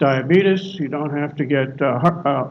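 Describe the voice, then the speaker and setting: A man keeps a moderate pace and fairly even intonation, his voice carrying audible room echo. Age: 70s. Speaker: guest speaker at a spiritual service. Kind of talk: sermon.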